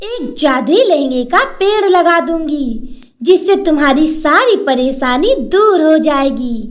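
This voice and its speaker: A cartoonish character voice, female-sounding and extremely high in pitch. It moves at a very slow pace. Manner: gentle, warm.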